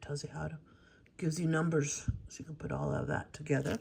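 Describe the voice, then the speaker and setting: A woman with a very deep, low pitch amid noticeable background noise. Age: 60s. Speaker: crafting YouTuber. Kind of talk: casual haul video. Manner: casual, chatty with fillers.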